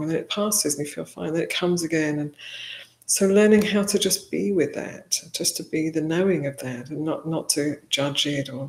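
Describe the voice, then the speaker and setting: A woman's very deep, low voice with a Welsh accent at a fairly quick pace. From Wales. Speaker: Buddhist nun. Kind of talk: interview. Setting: livestream. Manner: halting.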